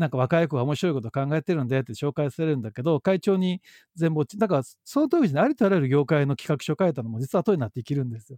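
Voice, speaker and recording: Talking at a very fast pace, a man uses lively intonation at a fairly high pitch. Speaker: social entrepreneur, company head. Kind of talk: casual interview conversation.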